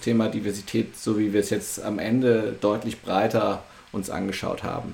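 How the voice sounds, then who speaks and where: Noticeable background noise is present. Over it, the man keeps a fairly slow pace. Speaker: podcast host. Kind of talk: interview. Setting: video call.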